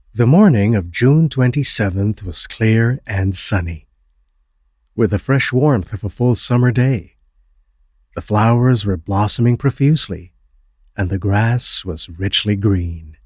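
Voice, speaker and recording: This man has a fairly low pitch and a somewhat breathy voice. He talks at a fairly slow pace with ordinary pitch variation. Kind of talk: horror story narration.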